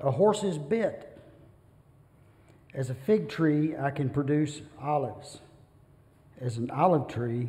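Speaking at a very slow pace, a man has a dark, mellow tone that is somewhat breathy. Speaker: bible class teacher. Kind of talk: lecture. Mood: relaxed, light humor. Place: church. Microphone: podium.

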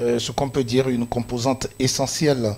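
A man at a moderate pace, with little pitch movement, vocal fry and a slightly mellow tone. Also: medium pitch for a man.

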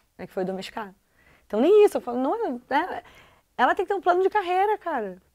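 With very wide pitch swings and an extremely high pitch, a woman speaks at a very fast pace, broken by long, frequent pauses. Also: big swings in loudness, quiet background. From southern Brazil, Porto Alegre; Rio Grande do Sul, Brazil. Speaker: TV presenter. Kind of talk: casual chat. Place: studio.

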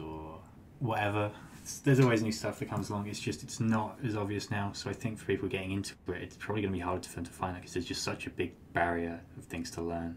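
A man talks at a very fast pace. His voice is somewhat breathy, with ordinary pitch variation. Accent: British. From UK. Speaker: crypto trader. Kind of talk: casual interview chat.

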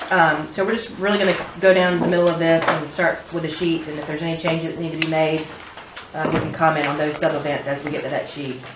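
Speech rushes along at a very fast pace over noticeable background noise. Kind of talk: meeting presentation. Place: meeting room.

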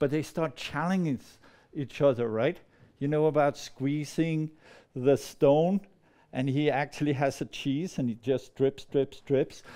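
A man speaks at a fairly slow pace with fairly even intonation against a quiet background. His fairly high voice has a dark, mellow tone. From Denmark, near Copenhagen. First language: Danish. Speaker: storyteller. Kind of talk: storytelling performance. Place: meeting room. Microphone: lapel.

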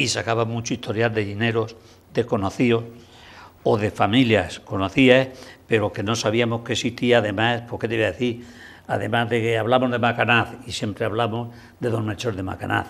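A man's monotone, flat intonation at a moderate pace. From Spain, Hellín (Albacete); Spain. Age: 80s+. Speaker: local historian, Franciscan friar; interview guest. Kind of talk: TV interview; interview answer. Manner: halting. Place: studio. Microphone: lapel.

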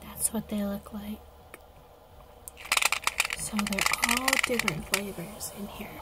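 Through noticeable background noise comes whispering at a fairly slow pace, broken by long, frequent pauses. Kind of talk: ASMR unboxing and review, casual talk to camera. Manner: whispered, soft-spoken.

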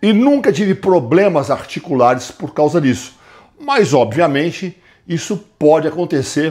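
Against a quiet background, a man speaks at a fairly slow pace. His pitch is fairly high and his intonation lively. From Brazil. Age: 60s. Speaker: fitness coach. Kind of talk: tutorial. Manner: casual, conversational. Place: gym. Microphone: lapel.

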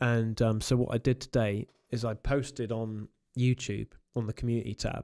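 A man speaks at a moderate pace in a dark, mellow tone with monotone, flat intonation. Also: quiet background. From England. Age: 40s. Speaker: YouTube paranormal creator. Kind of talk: casual chat. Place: studio. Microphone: studio mic.

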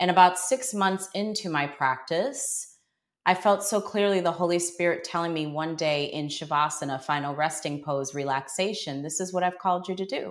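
Moderate pace, ordinary pitch variation, a normal speaking voice. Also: woman, fairly low pitch for a woman. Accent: American. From Buffalo, New York. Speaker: yoga teacher. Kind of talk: interview storytelling.

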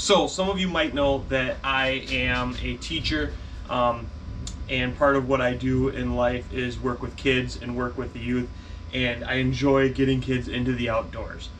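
Light background noise accompanies speech at a fairly slow pace. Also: man. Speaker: fishing channel host, teacher. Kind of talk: casual vlog chat. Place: garage. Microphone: phone near.

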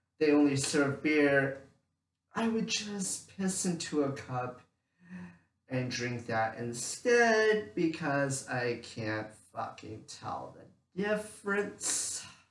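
The speech moves at a very slow pace with very wide pitch swings. Audible room echo surrounds it. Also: man. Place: home room. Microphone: camera far.

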